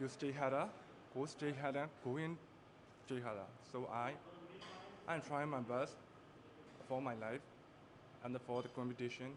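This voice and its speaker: The speaker has a non-native accent, a moderate pace with long, frequent pauses, fairly even intonation and very even loudness. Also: man, medium pitch for a man. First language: not English. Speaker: pageant contestant. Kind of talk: interview answer. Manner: halting.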